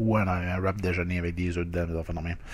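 A man speaks with a Quebec accent. His pitch is very deep and low. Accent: Québécois French. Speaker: food review YouTuber. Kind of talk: casual food review monologue. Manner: hesitant, many fillers. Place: home room. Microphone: webcam.

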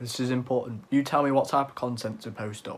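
A man speaks at a fairly slow pace with a medium pitch and fairly even intonation. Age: young. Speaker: youtuber. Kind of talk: casual vlog talk. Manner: halting. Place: home room. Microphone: phone near.

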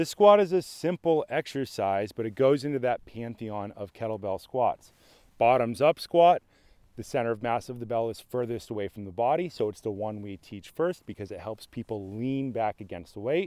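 A man's dark, mellow voice at a moderate pace, with lively intonation and big swings in loudness, dry with no echo over a quiet background. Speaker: fitness coach. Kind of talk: tutorial. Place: open country.

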